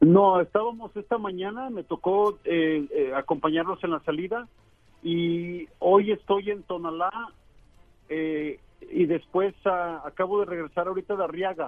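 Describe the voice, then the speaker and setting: Talking at a fairly slow pace, a man uses a high pitch with ordinary pitch variation. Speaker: reporter. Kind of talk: interview. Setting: phone call.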